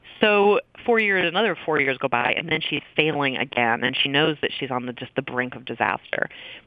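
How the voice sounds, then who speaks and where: At a fairly quick pace, a woman with a very deep, low pitch speaks with lively intonation over noticeable background noise. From Maine, US. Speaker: professor and author. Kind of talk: interview.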